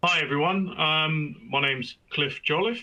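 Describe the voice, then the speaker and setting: A man with a British accent. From Britain. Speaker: industry strategy executive. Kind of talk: webinar presentation. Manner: hesitant, many fillers.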